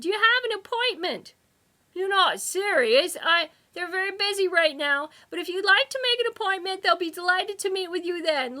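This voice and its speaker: A woman uses a put-on character voice with an extremely high pitch. Her voice is raised and projected at a moderate pace. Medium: read story. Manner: snippy, bureaucratic.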